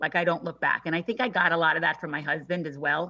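Over a quiet background, a woman with a New York accent speaks in a bright, sharp tone, her fairly low pitch showing ordinary variation. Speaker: personal stylist. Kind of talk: casual interview chat.

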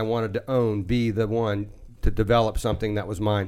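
A man speaks fairly quickly at a medium pitch in an unremarkable speaking voice. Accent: American. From Washington DC area, US. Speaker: contracting company owner. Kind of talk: radio interview.

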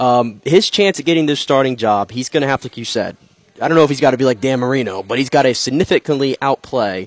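A man at a medium pitch and a very fast pace, with ordinary pitch variation and a dry, close sound with no echo. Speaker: sports reporter co-host. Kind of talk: sports talk radio.

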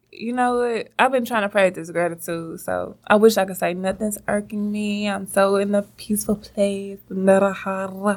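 Soft-spoken, a woman talks at a moderate pace in a monotone, flat intonation with hardly any pauses. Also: medium pitch for a woman. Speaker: podcast co-host. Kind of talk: casual chat.

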